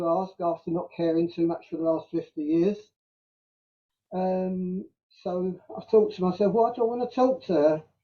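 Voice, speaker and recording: With a South London accent, a man speaks at a moderate pace in a high pitch that shows ordinary variation. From South London, England. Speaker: community member telling life story. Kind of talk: casual interview. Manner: halting.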